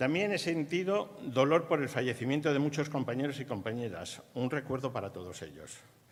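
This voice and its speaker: A man with a fairly high pitch and vocal fry talks at a fairly quick pace with lively intonation and hardly any pauses. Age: 60s. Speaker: retired university staff member. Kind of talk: ceremonial speech.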